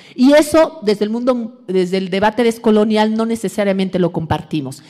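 Fairly high in pitch, a woman speaks with ordinary pitch variation. The background is quiet. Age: 40s. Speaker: academic lecturer on decolonial feminism. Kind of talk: lecture. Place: hall. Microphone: podium.

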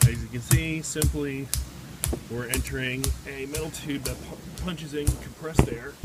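There is music in the background. Over it, a man speaks at a moderate speed. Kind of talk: casual vlog chat. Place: factory. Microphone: phone near.

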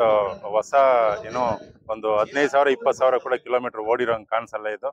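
Fast and with little pitch movement, a man talks at a medium pitch.

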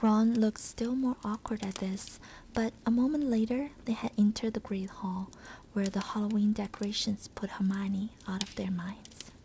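Soft-spoken and somewhat breathy, a woman talks at a moderate pace with a dark, mellow, gentle tone and fairly even intonation, light background noise behind her. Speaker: ASMR content creator. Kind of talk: audiobook-style reading of a novel, ASMR. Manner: soft-spoken, gentle. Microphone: studio mic.

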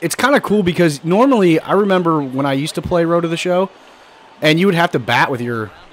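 Lively intonation runs through this fairly quick delivery while noticeable background noise sits behind it. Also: man. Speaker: gaming video creator. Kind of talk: gameplay commentary. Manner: casual, filler-heavy.

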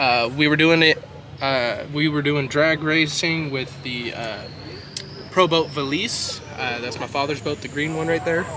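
A man at a fairly slow pace, dry sound with no echo, and noticeable background noise. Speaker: RC hobby video host. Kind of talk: casual vlog with product demo. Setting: outdoors at a lake. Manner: casual, frequent filler words.

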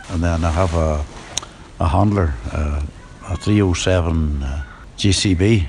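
Over noticeable background noise, a man with a Northern Irish accent speaks in a very deep, low voice at a fairly slow pace, with long, frequent pauses and ordinary pitch variation. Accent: Northern Irish (Ulster Scots, Antrim). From Northern Ireland, County Antrim. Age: 80s+. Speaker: farmer. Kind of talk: casual interview.

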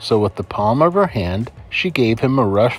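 The lines are read aloud plainly. Its intonation rises and falls in a lively way.

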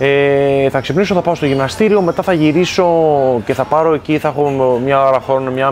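Light background noise sits under a man speaking at a moderate pace with ordinary pitch variation. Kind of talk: interview answer. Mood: relaxed, calm. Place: home room. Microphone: lapel.

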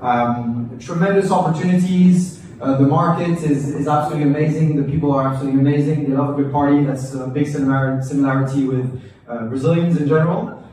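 A man speaks at a very fast pace with fairly even intonation. Strong room echo surrounds him over light background noise. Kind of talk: welcome speech. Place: cafe.

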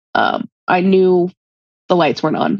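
A woman's voice comes through dry with no echo against a quiet background. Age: 30s. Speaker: guest seeking money advice; guest. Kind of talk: personal money coaching conversation. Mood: candid, sometimes rueful. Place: home room. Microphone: video call.

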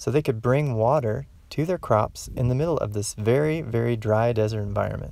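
Here a man speaks in a calm, gentle tone at a moderate pace. The sound is dry, with no echo. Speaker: garden educator. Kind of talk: educational lesson for children. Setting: outdoors. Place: open country. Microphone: phone near.

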